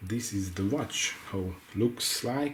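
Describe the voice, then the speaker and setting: Speaking at a fairly slow pace with a non-native accent, a man uses a fairly low pitch and ordinary pitch variation. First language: not English. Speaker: watch reviewer. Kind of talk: product review. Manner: halting.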